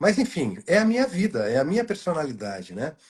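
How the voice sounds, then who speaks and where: Using very wide pitch swings, a man speaks at a high pitch and a moderate pace. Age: 60s. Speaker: journalist, good-news site creator. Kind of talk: casual chat. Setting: live stream video call. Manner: halting, many fillers.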